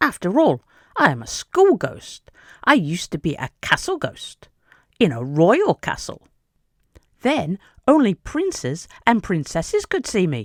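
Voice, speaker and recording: Putting on a character voice, the speaker talks at a moderate pace with fairly high pitch and long, frequent pauses. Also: very clean recording, silent background. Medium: read story. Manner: excitable, playful.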